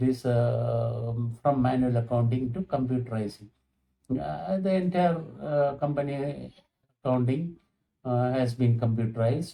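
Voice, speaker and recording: A somewhat breathy, dark and mellow tone at a fairly slow pace, with long, frequent pauses, ordinary pitch variation and very even loudness. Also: man, medium pitch for a man. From Kerala, India. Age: 70s. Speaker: retired accountant. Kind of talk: interview answers. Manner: halting, many fillers.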